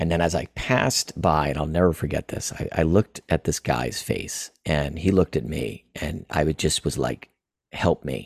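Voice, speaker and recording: Dry and close with no echo, the recording captures a man with an American accent, a very deep, low pitch and vocal fry, speaking at a moderate pace with ordinary pitch variation. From Florida and East Tennessee, US South. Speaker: acupuncture and Chinese medicine practitioner. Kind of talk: interview telling a personal story. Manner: halting.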